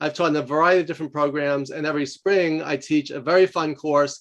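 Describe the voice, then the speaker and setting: A man with a New York accent talks at a very fast pace, his pitch fairly high for a man. His intonation stays fairly even. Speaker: professor and leadership coach. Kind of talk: podcast interview. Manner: loud.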